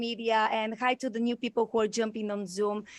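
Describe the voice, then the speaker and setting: A moderate pace with a Bulgarian accent. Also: woman. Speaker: podcast and live stream host. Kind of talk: live video chat interview. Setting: video call. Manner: effusive, many fillers.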